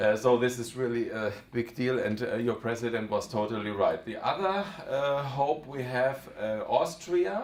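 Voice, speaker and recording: With a German accent, the speaker goes at a moderate pace with hardly any pauses, amid noticeable background noise and audible room echo. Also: man, medium pitch for a man, ordinary pitch variation. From Germany. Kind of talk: talk to an audience. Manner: halting, many fillers.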